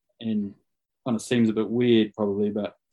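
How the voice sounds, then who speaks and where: This is a man with a fairly low pitch. He talks at a fairly quick pace. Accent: New Zealand. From New Zealand, Rotorua. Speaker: rugby coach. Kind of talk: casual interview chat. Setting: live video call.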